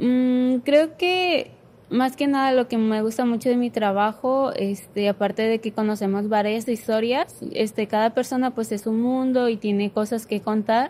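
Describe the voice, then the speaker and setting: Hardly pausing, a woman talks at a fairly slow pace in a fairly high pitch, with a dark, mellow tone and ordinary pitch variation. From Culiacán, Sinaloa, Mexico; Sinaloa, Mexico. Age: 20s. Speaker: graphic design student; guest. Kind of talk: casual faith discussion. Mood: calm, reflective. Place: studio. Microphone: studio mic.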